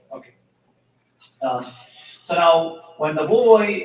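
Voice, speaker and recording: A man with a fairly high pitch and ordinary pitch variation talks amid audible room echo. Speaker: Islamic teacher. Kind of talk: religious talk. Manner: loud; halting. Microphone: mic moved closer after being too quiet.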